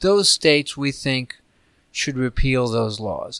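Recorded very cleanly, with a silent background and a dry, close sound with no echo, a man with an unremarkable speaking voice talks at a moderate pace with lively intonation. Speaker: policy expert, report author. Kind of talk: interview.

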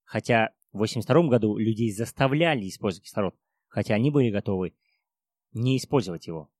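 Quick-ish and lively, a man speaks at a medium pitch on a very clean recording with a silent background and a dry, close sound with no echo. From Kazakhstan. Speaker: mountaineer. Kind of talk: interview. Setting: cafe.

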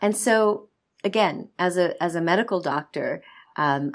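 A woman with an American accent speaks in an unremarkable speaking voice at a medium pitch, with ordinary pitch variation. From United States. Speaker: medical doctor and author. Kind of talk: interview.

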